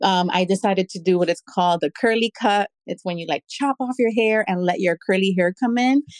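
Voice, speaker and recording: An ordinary speaking voice from a woman with an American accent, medium-pitched with ordinary pitch variation, fairly quick with hardly any pauses, in a very clean recording with a silent background and a dry, close sound with no echo. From New York City. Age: 30s. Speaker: artist and fashion designer. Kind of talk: interview. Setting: live audio space.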